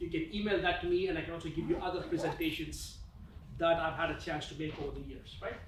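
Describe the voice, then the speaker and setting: A man with a non-native accent speaks with ordinary pitch variation over noticeable background noise and audible room echo. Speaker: business school professor. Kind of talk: conference presentation. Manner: conversational, filler-heavy.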